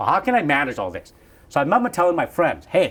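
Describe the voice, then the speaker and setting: In a slight Vietnamese accent, the speaker's pitch swings very widely. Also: man. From Vietnam, moved to US as a child. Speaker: real estate broker, founder. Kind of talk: interview, casual chat. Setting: hotel, in person.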